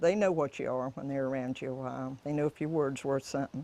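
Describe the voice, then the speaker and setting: A woman with a Florida accent, very deep and low in pitch, with a dark, mellow tone and a fairly quick pace. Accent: rural Florida Southern. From US South, interior Florida (Indiantown). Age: 90s (born 1929). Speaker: rancher. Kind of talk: interview testimony. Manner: halting, many restarts.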